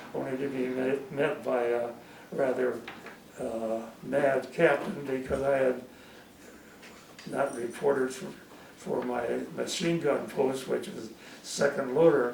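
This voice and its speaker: A man's medium-pitched voice at a fairly slow pace, with long, frequent pauses, fairly even intonation, audible room echo and noticeable background noise. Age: 80s+. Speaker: war veteran. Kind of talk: testimony. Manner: halting.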